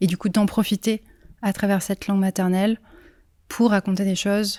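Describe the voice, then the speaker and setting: A woman speaks at a medium pitch with a dark, mellow tone and monotone, flat intonation. The recording is very clean, with a silent background. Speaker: singer-songwriter. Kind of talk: interview. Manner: hesitant, many fillers.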